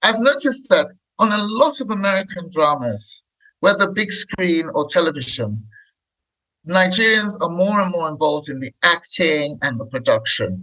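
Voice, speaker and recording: A man in a raised, projected voice, high and bright with a sharp tone, speaks at a moderate pace with very wide pitch swings. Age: 60s. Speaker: podcast host. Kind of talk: interview.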